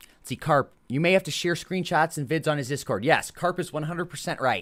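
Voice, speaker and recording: A man with an American accent talks at a fairly quick pace with vocal fry, on a very clean recording with a silent background. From US Midwest, Chicago / northwest Indiana area. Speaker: video game streamer. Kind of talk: casual live-stream gameplay chat.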